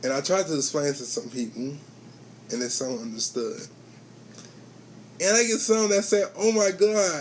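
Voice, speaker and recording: A man's high-pitched voice with very wide pitch swings, a fairly slow pace, long and frequent pauses, and noticeable background noise. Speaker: vlogger sharing personal health story. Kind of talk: personal testimony vlog. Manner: speech affected by facial condition, some slurring; repeats phrases.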